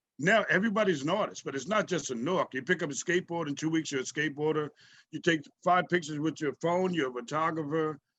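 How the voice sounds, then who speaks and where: A man's fairly high-pitched voice at a very fast pace, with ordinary pitch variation. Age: 70s. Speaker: artist and teacher. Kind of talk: Q&A interview on video call.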